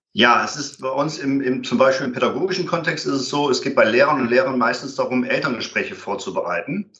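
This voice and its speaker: Talking at a fairly quick clip, the man lets his pitch vary in an ordinary way. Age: 50s. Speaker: conflict and violence prevention trainer. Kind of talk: interview. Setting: remote call. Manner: hesitant with fillers.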